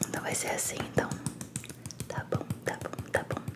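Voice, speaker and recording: A soft-spoken woman talks at a fairly slow pace over loud background noise. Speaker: ASMR creator. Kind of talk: ASMR roleplay talk. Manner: soft teasing ASMR voice. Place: home room. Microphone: studio mic.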